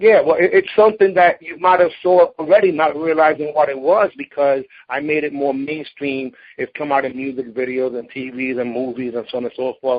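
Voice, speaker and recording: A man speaks at a fairly quick pace with ordinary pitch variation. His loudness swings widely. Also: fairly high pitch for a man. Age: 40s. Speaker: martial arts grandmaster and interviewer. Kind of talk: interview. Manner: halting.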